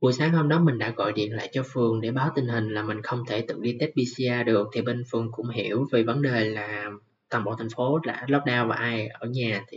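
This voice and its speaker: Speaking at medium pitch with fairly even intonation, a man moves at a fairly quick pace with hardly any pauses. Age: 20s. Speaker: podcast host. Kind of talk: personal monologue. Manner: occasionally halting.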